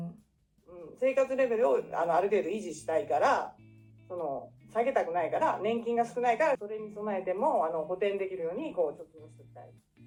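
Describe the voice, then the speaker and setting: Very fast speech with very wide pitch swings and big swings in loudness plays over music in the background. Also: woman, medium pitch for a woman. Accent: Japanese. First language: Japanese. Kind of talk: interview answer.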